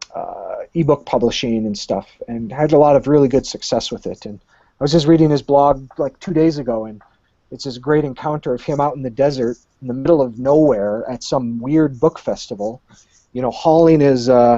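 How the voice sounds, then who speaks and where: With an American accent, a man talks at a fairly quick pace in a fairly high pitch, with ordinary pitch variation, big swings in loudness, and a normal speaking voice. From Michigan, US. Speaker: high school English teacher and aspiring author. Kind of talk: casual interview.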